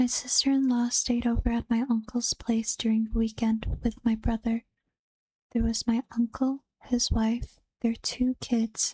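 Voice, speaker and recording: Someone soft-spoken talks at a fairly slow pace. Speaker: vtuber and streamer. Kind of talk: reading reddit horror stories aloud.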